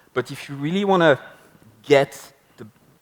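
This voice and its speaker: There is ordinary pitch variation as a man speaks with a French accent. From France. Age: 30s. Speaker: marketing speaker. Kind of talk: conference talk. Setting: stage with audience.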